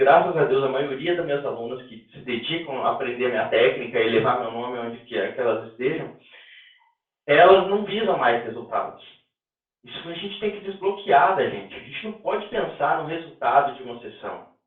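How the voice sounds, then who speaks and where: Audible room echo surrounds a man whose fairly high voice has lively intonation and big swings in loudness. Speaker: instructor teaching a rehabilitation technique course. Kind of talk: online lecture. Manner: fast.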